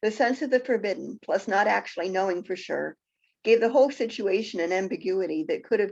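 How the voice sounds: With a quiet background behind it, a natural reading voice is heard.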